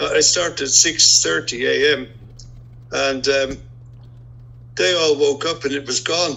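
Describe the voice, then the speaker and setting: Noticeable background noise sits behind a man with an Irish accent, his pitch fairly high and his pitch variation ordinary. He talks at a fairly slow pace, with long, frequent pauses. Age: 70s. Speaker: retired airline pilot, amateur boatbuilder. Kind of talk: interview. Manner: halting.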